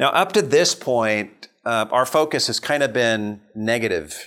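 In an ordinary speaking voice, a man talks at a medium pitch and a fairly slow pace. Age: 50s. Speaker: pastor leading a counseling conference workshop. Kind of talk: lecture.

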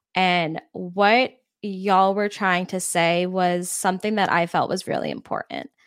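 In a very clean recording with a silent background, a woman speaks in an ordinary speaking voice at a medium pitch, with fairly even intonation and a fairly slow pace. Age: 20s. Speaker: podcast producer and marketing agency founder. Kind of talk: casual interview.

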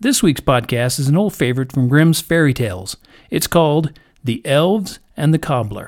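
With a plain, everyday voice, a man speaks at a moderate pace and fairly high pitch, his intonation lively. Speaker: podcast storyteller. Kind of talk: bedtime story telling, reading a fairy tale aloud to children. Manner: gentle, warm, measured storyteller pacing; friendly, welcoming family-oriented intro.

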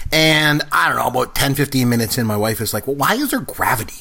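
Here a man talks with a normal speaking voice. His pitch is medium and his pace fairly quick. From Canada. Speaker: podcast host. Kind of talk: casual chat.

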